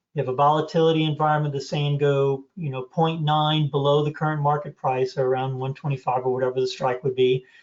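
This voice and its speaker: This man's voice sits fairly high and sounds somewhat breathy. He moves at a fairly quick pace with monotone, flat intonation. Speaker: trading course instructor. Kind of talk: online class Q&A. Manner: fast.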